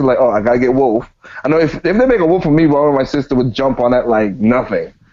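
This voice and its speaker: A man keeps up a fairly quick pace while noticeable background noise runs underneath. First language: not English. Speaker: gaming podcast host. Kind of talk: casual chat.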